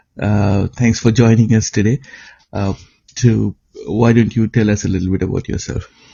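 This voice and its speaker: A man's fairly low, somewhat breathy voice at a moderate pace, with fairly even intonation and long, frequent pauses. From eastern India. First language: an eastern Indian language. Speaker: podcast host. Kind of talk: interview conversation. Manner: hesitant, many fillers.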